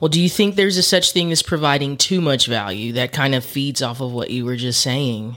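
A man uses a normal speaking voice at a fairly high pitch. He moves at a fairly quick pace with hardly any pauses. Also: lively intonation. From Texas. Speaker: podcast host. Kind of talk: casual interview. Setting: studio.

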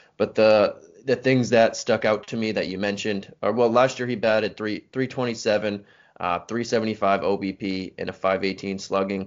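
A man talks at a moderate pace in a fairly low voice with fairly even intonation. He has a normal speaking voice. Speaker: podcast co-host. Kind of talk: casual chat.

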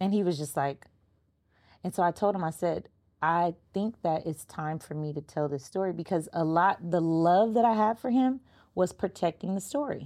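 Speaking with an American accent at a moderate pace, a woman has a fairly low, dark, mellow tone and lively intonation, on a very clean recording with a silent background. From Los Angeles, US. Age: 30s. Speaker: podcast host. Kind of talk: casual interview chat.

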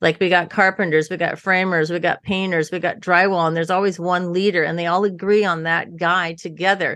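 A woman's fairly low-pitched, monotone, flat delivery at a fairly quick pace with hardly any pauses, against a quiet background. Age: 60s. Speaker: interior designer and builder. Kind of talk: casual interview chat.

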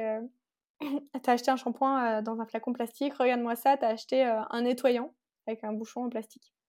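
On a very clean recording with a silent background, a woman with a high pitch and a dark, mellow tone talks at a fairly quick pace. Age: 20s. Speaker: entrepreneur, brand founder. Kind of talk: interview.

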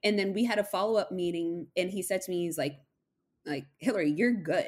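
A woman with a plain, everyday voice, a medium pitch and lively intonation, with an American accent. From Massachusetts. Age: 20s. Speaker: podcast guest sharing recovery story. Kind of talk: casual interview.

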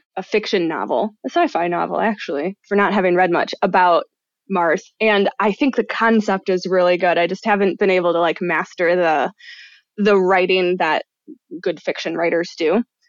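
With an American accent and an unremarkable speaking voice, a woman talks at a medium pitch and a moderate pace with ordinary pitch variation, in a dry, close sound with no echo against a quiet background. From Michigan. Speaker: enneagram coach and writer. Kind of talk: casual chat.

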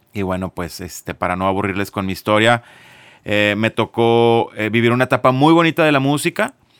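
A man with an unremarkable speaking voice at a fairly quick pace, lively intonation, dry, close sound with no echo, and a very clean recording with a silent background. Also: medium pitch for a man. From Monterrey, Mexico. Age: 40s. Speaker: music business consultant, former drummer. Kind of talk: casual interview.

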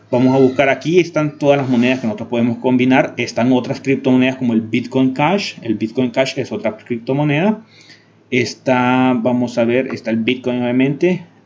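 A man with a medium pitch and ordinary pitch variation talks at a moderate pace. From Honduras. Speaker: YouTube tech tutorial creator. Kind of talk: tutorial. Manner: hesitant with frequent fillers.

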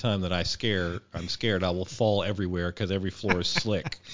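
Talking at a fairly quick pace, a man with an American accent has an ordinary speaking voice, a fairly low pitch and ordinary pitch variation. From US South, Arkansas. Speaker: food blogger. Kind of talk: casual chat.

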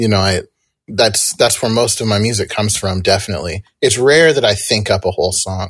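A man talks in a plain, everyday voice with an American accent. His pitch is fairly low and varies in an ordinary way. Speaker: musician, songwriter and producer. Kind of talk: casual interview.

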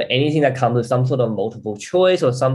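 This man speaks at a medium pitch with lively intonation and a slightly mellow tone.

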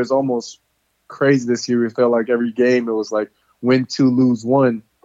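A man with an American accent has an unremarkable speaking voice at a medium pitch, with fairly even intonation and a moderate pace. The sound is dry and close with no echo. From US South, Louisiana (near Baton Rouge). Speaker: pro football player. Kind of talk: interview.

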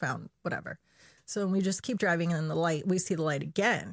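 Vocal fry at a fairly quick pace, ordinary pitch variation, and a dry, close sound with no echo in a very clean recording against a silent background. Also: woman. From Chile. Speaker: podcast guest sharing paranormal experiences. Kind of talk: casual chat. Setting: studio. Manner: laughs often.

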